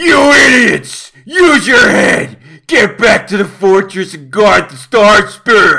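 Putting on a character voice, a man speaks high for his sex at a fairly slow pace. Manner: blustering, anxious.

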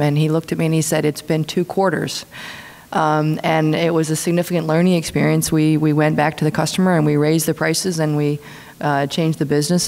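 The woman's pitch sits very deep and low. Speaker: speaker. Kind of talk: panel answer. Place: hall. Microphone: podium.

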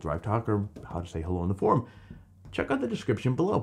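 A man's vocal fry paired with very wide pitch swings. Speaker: off-road vehicle news host. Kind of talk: casual news roundup. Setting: recorded on camera. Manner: animated. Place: studio.

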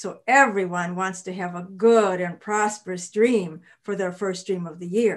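A woman with an American accent at a fairly slow pace, quiet background. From US Midwest, Illinois. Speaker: storyteller. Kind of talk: children's folktale storytelling. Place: home room.

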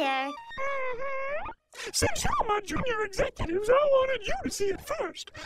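Over loud music in the background, a put-on character voice speaks at an extremely high pitch and a moderate pace. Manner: grandiose, self-satisfied.

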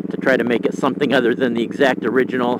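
A man speaks at a fairly quick pace in a dry sound with no echo, with noticeable background noise. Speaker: rider podcaster. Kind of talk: casual vlog chat. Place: motorbike.

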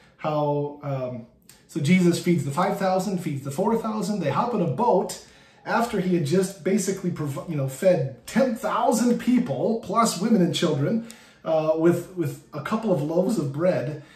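At a fairly slow pace, a man speaks with a high pitch amid audible room echo. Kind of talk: bible study teaching. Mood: warm, light humor. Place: home room. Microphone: phone near.

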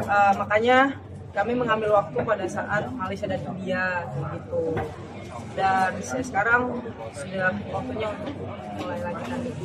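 Amid loud background noise, a man speaks at a moderate pace with long, frequent pauses. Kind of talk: interview answer. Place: street. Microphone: handheld.

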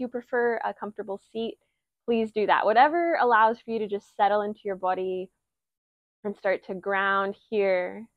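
A woman talks at a moderate pace, the background quiet. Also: dry sound with no echo. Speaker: yoga instructor. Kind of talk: yoga class intro and guidance. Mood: warm, cheerful, laughing. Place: garden. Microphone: lapel.

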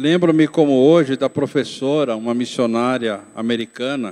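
A man's medium-pitched voice at a fairly slow pace, with ordinary pitch variation, over a quiet background. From interior of São Paulo state, Brazil (Itapetininga), moved to São Paulo city at 12; São Paulo state, Brazil. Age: 60s. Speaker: pastor. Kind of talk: testimony. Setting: church. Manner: reading aloud. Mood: calm, reflective. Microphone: handheld.

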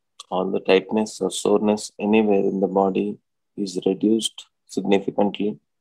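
In an Indian accent, a man speaks at a moderate pace with a fairly low pitch, a dark, mellow tone and monotone, flat intonation, recorded with a dry, close sound and no echo. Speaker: doctor and yoga teacher. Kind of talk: guided meditation. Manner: soothing, instructional.

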